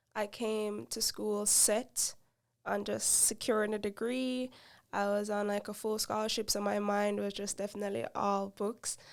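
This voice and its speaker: In a Jamaican accent, a woman talks at a moderate pace with monotone, flat intonation. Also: medium pitch for a woman. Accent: Jamaican, noticeable. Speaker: podcast co-host. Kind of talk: casual chat.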